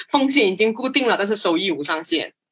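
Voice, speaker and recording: A woman talks at a fairly quick pace. She has a non-native accent. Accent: non-native Mandarin. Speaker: marketing professional. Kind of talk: casual interview chat. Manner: fast.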